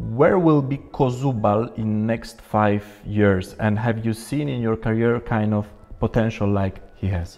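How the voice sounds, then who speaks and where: Over music in the background, a man with a Polish accent talks fairly slowly at a medium pitch with ordinary pitch variation. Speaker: sports journalist. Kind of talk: interview.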